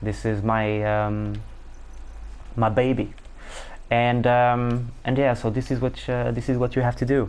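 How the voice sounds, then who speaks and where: A man's medium-pitched voice with a non-native accent, monotone, flat intonation, and long, frequent pauses. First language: not English. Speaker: gaming YouTuber. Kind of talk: gameplay tutorial. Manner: halting, many fillers.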